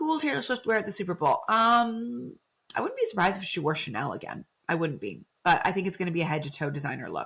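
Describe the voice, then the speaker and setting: Vocal fry runs through this woman's medium-pitched voice as she talks at a very fast pace with very wide pitch swings. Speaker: fashion journalist and podcast host. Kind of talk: live podcast talk reading viewer chat.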